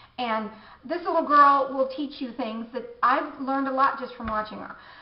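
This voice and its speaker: A woman speaks in a high pitch with fairly even intonation and big swings in loudness. Audible room echo and noticeable background noise fill the recording. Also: moderate pace. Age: 50s. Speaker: beauty vlogger. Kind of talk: casual vlog monologue. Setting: home bathroom. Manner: halting, many restarts.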